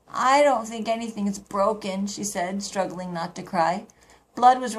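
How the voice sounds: Pitch varies in an ordinary way as the text is read in a natural reading voice.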